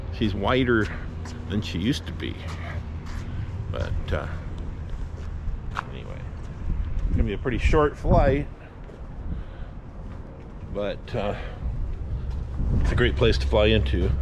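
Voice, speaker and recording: A man with a very deep, low pitch speaks at a fairly slow pace, leaving long, frequent pauses. Noticeable background noise runs underneath. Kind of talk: casual vlog chat. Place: street. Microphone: phone near.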